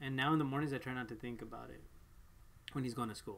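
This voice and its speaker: A man with a Spanish accent. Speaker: parent vlogger. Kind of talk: casual chat. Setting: live stream.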